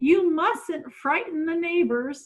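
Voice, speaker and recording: A woman's put-on character voice sits at an extremely high pitch. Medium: read story. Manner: prim, correcting.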